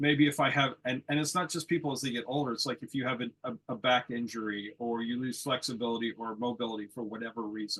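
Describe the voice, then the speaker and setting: With an American accent, a man talks at a very fast pace. His intonation is fairly even. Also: medium pitch for a man, hardly any pauses. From United States. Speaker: lawn bowls athlete. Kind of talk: panel discussion.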